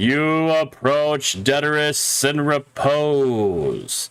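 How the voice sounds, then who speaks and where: Using a put-on character voice, a man speaks at a very slow pace with a fairly high pitch. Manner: solemn, ominous.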